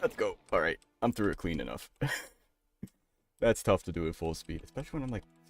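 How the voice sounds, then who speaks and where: A man talks in an animated tone at a very fast pace, with long, frequent pauses. Music plays in the background. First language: bilingual English and Spanish. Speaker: gaming live streamer. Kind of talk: casual live stream commentary.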